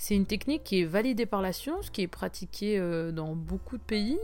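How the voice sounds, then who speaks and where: This is a woman talking. Her pace is moderate. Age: 20s. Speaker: podcast host. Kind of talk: casual monologue.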